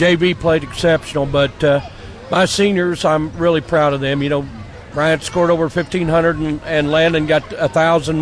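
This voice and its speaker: Delivered at a moderate pace with fairly even intonation, the speech comes over noticeable background noise. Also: man. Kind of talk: post-game coach interview. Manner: casual, plain-spoken, with filler words.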